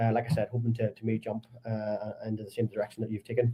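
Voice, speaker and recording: In a strong Belfast accent, a somewhat breathy man talks at a very fast pace. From Northern Ireland, Belfast. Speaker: podcast host. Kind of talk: podcast interview.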